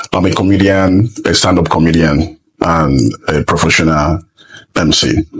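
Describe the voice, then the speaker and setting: A man speaks with a Nigerian accent at a fairly slow pace. His pitch varies in an ordinary way. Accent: Nigerian Igbo English. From eastern Nigeria (Igbo). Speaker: comedian and MC. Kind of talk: casual interview.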